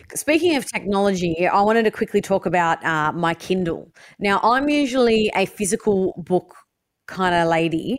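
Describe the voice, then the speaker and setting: In a very clean recording with a silent background, a woman with an Australian accent speaks at a medium pitch. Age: 30s. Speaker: podcast co-host. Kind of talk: casual chat. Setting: at home, bedroom.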